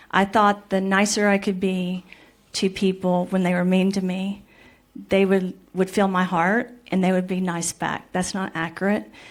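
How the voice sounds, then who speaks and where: The intonation stays monotone and flat. The speaker has an American accent. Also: woman, medium pitch for a woman, moderate pace, very clean recording, silent background. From Missouri, US. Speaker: scientist, panelist. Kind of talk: panel discussion.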